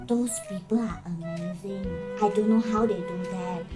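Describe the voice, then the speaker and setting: A woman with a Malaysian accent at a moderate pace, music in the background. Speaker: YouTuber. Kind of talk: casual talk to camera.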